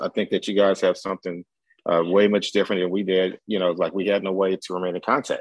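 Over a quiet background, a man with an American accent talks at a fairly quick pace and fairly low pitch in an ordinary speaking voice, the sound dry and close with no echo. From US military bases, St. Louis area and Germany. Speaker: college professor. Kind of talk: casual chat.

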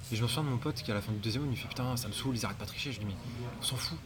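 A man talks at a very fast pace, at a medium pitch with ordinary pitch variation. Audible room echo and noticeable background noise surround him. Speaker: podcast host. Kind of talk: casual interview. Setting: CrossFit gym.

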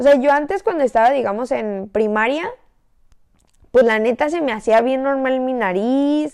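Her high pitch shows ordinary variation as the woman talks. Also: fairly slow pace. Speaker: podcast host. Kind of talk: casual chat. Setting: in bed at home. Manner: lying down while talking.

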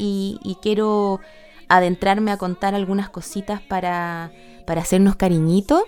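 A woman speaks with a Chilean accent. Her pitch sits in the medium range. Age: 30s. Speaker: podcast host. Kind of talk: solo podcast monologue. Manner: halting, many repetitions and fillers.

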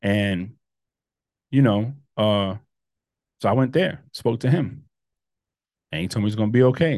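Moderately paced speech from a man, broken by long pauses that come often. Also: medium pitch for a man, lively intonation. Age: 40s. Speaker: podcast host. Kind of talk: personal monologue. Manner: halting.

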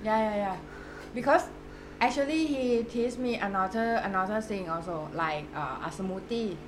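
A woman's fairly high voice with a Thai accent at a moderate pace, over noticeable background noise. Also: lively intonation. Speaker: podcast host. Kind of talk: casual interview.

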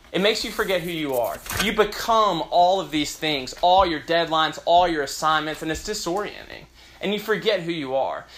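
A man with an American accent talks at a fairly quick pace in a high voice with ordinary pitch variation, amid audible room echo and noticeable background noise. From US South, Memphis, Tennessee. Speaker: pastor. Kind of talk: sermon.

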